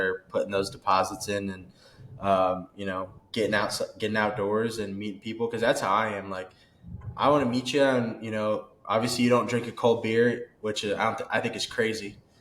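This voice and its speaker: Noticeable background noise runs under a man speaking at a fairly quick pace. He has an American accent and a medium pitch. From Kansas. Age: 20s. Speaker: outdoorsman podcast guest. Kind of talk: casual chat. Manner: animated.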